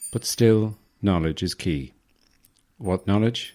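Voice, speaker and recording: Over a silent background in a very clean recording, a man with an Irish Midlands accent speaks at a fairly slow pace in a dark, mellow tone. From Ireland. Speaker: podcaster. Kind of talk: sleep podcast about movies. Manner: soothing, witty.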